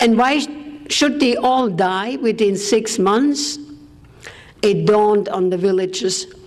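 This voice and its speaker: Over noticeable background noise, the speaker talks at a very slow pace in a German accent with ordinary pitch variation. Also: woman. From Austria. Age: 80s+. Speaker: war survivor speaker. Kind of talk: testimony.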